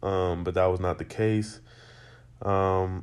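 Monotone and flat, a man speaks in a fairly low voice with an American accent. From Las Vegas, Nevada. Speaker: student podcaster. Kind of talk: monologue. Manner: hesitant, many fillers.

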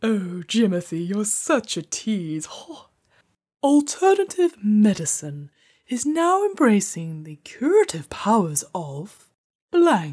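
The pitch swings very widely at a fairly slow pace. The recording is very clean, with a silent background. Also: woman, medium pitch for a woman. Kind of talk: comic overacting, grand theatre diva. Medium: game stream. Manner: pompous, flirtatious, self-admiring.

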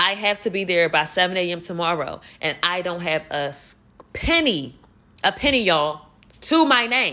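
A woman talks at a moderate pace. Her pitch sits fairly low. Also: lively intonation. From Philadelphia, US. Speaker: podcast host and former model. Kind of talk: casual monologue, storytelling. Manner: animated, conversational.

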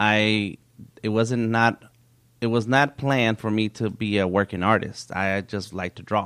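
Against a quiet background, a man with an unremarkable speaking voice speaks at a medium pitch with fairly even intonation. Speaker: nonprofit founder for artists. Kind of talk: interview conversation.

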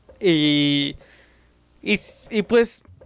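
A man talks with a Mexican accent and lively intonation. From Mexico. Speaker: YouTuber and podcaster. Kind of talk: casual chat.

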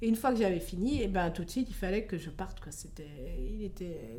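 A woman talks at a moderate pace in a medium pitch. Audible room echo surrounds her voice. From France. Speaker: expatriate. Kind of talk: interview. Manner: hesitant.

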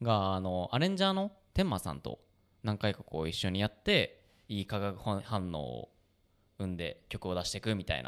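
His pitch fairly low and its variation ordinary, a man speaks at a moderate pace. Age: 20s. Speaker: band musician and podcast host. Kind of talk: casual chat. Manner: animated.

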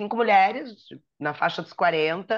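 A woman at a medium pitch with ordinary pitch variation and a very slow pace. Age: 50s. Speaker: magazine editor and podcast co-host. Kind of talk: casual chat.

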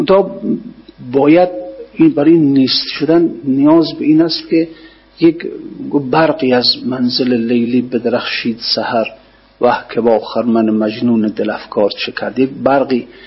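A fairly high-pitched male voice, fairly slow, with ordinary pitch variation and long, frequent pauses. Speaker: religious scholar teaching poetry commentary. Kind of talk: lecture.

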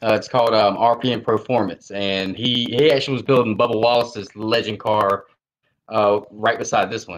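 Talking at a moderate pace with fairly even intonation, a man uses a normal speaking voice at a medium pitch. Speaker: sim racing driver. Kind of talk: casual interview. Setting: video call. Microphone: laptop.

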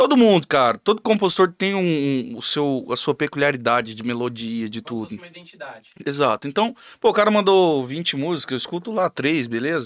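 With a dry, close sound and no echo, a man speaks at a fairly high pitch with very wide pitch swings, big swings in loudness and hardly any pauses. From Mato Grosso do Sul, Brazil (Camapuã). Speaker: songwriter and musician. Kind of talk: casual chat.

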